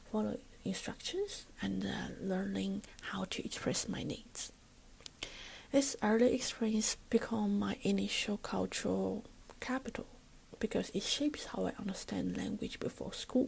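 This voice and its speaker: The speaker has a Chinese accent and talks at a fairly slow pace. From China. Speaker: student teacher. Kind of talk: recorded class presentation. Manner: formal.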